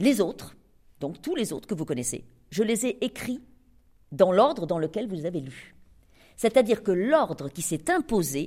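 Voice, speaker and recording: In a very clean recording with a silent background, a woman speaks at a medium pitch with very wide pitch swings. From France, Cantal. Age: 60s. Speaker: novelist. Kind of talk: author talk with readers.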